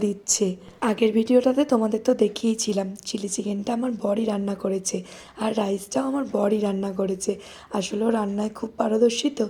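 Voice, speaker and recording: A woman talks with fairly even intonation. Noticeable background noise is present. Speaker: vlogger, mother. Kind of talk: vlog voice-over narration.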